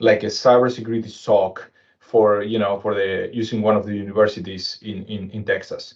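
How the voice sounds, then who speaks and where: A man speaks at a fairly quick pace and a fairly low pitch. His intonation is monotone and flat. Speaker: cybersecurity consultant. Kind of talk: webinar presentation. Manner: halting.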